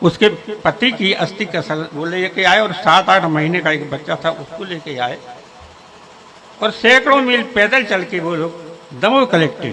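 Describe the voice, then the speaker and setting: Lively intonation from a man with a high, raised and projected voice, plus noticeable background noise. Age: 80s+. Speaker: community elder. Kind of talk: speech to local gathering.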